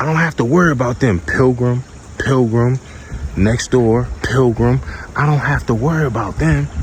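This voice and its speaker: Quiet and animated, a man speaks at a medium pitch with lively intonation. Noticeable background noise is present. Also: moderate pace. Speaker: vlogger, trucker. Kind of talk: casual vlog rant. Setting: outdoors in backyard by pool. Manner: quiet, low volume; animated, emphatic.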